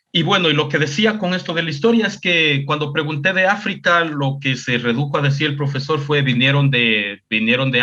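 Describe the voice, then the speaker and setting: This man speaks at a fairly quick pace, his fairly high pitch carried by lively intonation. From Ecuador, Chota Valley (Afro-Ecuadorian). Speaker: cultural communicator and social media personality. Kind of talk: interview conversation. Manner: casual, with fillers and English 'so'.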